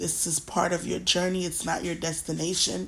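Using vocal fry, a woman speaks at a fairly low pitch and a fairly slow pace. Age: 30s. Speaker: podcast host. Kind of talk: casual monologue. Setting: sitting in a recliner.

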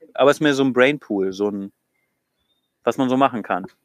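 The recording sounds dry and close, with no echo. A man talks at a medium pitch and a fairly quick pace. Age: 30s. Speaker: church youth leader. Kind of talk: casual chat. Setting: outdoors, in a garden.

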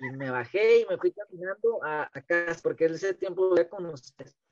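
The sound is dry and close, without any echo, as a man speaks at an unhurried, moderate pace. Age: 30s. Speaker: t-shirt printer and amateur religious podcaster. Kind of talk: casual interview about faith. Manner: halting, many repetitions.

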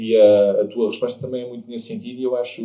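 His pitch moves in an ordinary way. This man talks very fast. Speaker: podcast host. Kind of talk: casual interview chat.

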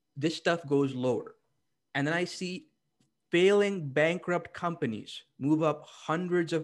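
This man has an unremarkable speaking voice, pitched fairly high, with ordinary pitch variation and a fairly slow pace, recorded very cleanly against a silent background. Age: 20s. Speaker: stock trader and trading educator. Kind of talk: casual chat.

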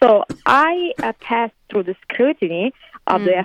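Speech from a woman, with an Italian accent. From Italy. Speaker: interview guest, fashion designer. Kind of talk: interview. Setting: remote call from California.

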